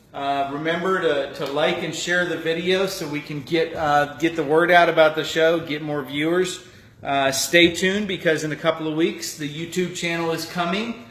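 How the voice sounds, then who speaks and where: The man's pitch is fairly high and his intonation fairly even. He keeps a moderate pace with hardly any pauses, against noticeable background noise. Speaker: cooking show host. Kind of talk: live cooking demonstration.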